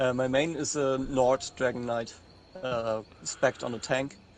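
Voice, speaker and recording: The speaker has a German accent. Music plays in the background. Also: man. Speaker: podcast guest, gamer. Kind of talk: casual chat. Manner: halting.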